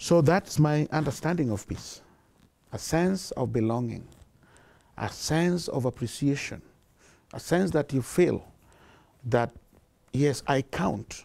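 A man speaks very slowly in a dark, mellow tone with lively intonation. He leaves long, frequent pauses. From Kenya. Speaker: charity founder and director. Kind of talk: interview answer. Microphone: lapel.

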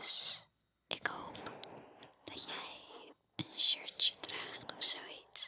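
At a very slow pace, a woman whispers over light background noise. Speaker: ASMR creator. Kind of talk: soft whispered ASMR chat. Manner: intimate ear-to-ear whisper. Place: home room. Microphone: studio mic.

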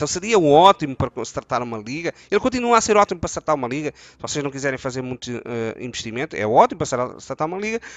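This man talks very fast with hardly any pauses, in a European Portuguese accent and with lively intonation. His loudness swings widely, and the sound is dry with no echo against a quiet background. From Portugal. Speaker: gaming youtuber. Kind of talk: tutorial. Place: home room. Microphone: headset.

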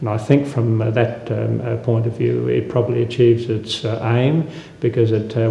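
A man speaks at a moderate pace in a monotone, flat intonation with vocal fry. His tone is dark and mellow, and the room echo is audible.

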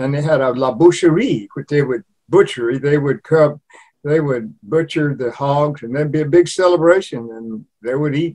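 With a dark, mellow tone and fairly high pitch, a man speaks at a moderate pace in a quiet background. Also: ordinary pitch variation. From Louisiana. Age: 80s+. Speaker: cookbook author; guest. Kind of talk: interview. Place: home room. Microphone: video call.

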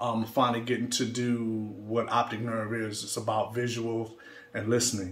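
Over noticeable background noise, a man with an American accent talks with monotone, flat intonation. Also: medium pitch for a man, moderate pace. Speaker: electronic music producer and DJ. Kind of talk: casual video update. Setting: studio. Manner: halting, many fillers.

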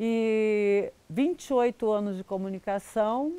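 Very slowly, a woman speaks with ordinary pitch variation in a dry sound with no echo. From Brazil. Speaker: rodeo announcer. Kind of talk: interview answer. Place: garden.

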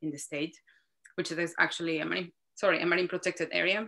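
A woman speaks with a Spanish accent. Her pitch sits fairly low. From Mexico City. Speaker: marine scientist. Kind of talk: interview.

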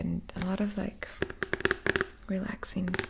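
A soft-spoken woman at a moderate pace over loud background noise. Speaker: streamer. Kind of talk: casual vlog chat. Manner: soft-spoken, close to the mic. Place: home room. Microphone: studio mic.

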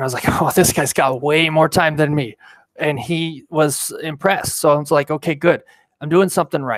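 Here a man with a General American accent speaks at a fairly high pitch and a moderate pace. His intonation is fairly even, and the sound is dry with no echo over a quiet background. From Colorado, Denver; Colorado. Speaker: pilot and video creator; video creator. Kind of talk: live stream talk. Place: home room. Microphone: headset.

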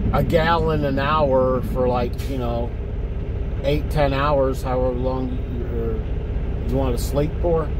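The speech moves at a fairly slow pace. Noticeable background noise runs underneath. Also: man. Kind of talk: casual vlog chat. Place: car. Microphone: phone near.

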